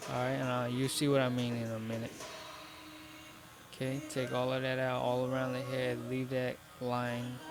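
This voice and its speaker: A man's medium-pitched monotone, flat in intonation, with music behind it and audible room echo. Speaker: barber. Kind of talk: tutorial. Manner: stuttering; casual, instructive.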